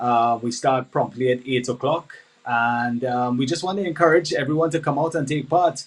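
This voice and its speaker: A man speaks with a Trinidadian accent. His pitch is medium, with ordinary variation. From Trinidad and Tobago. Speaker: sports event organizer. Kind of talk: live interview.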